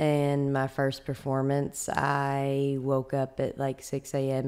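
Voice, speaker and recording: This woman's pitch is very deep and low, with a dark, mellow tone. Her intonation stays monotone and flat. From Alabama (Florence); Alabama. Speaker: professional dancer and choreographer; podcast guest. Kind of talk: casual interview. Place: home room. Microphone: studio mic.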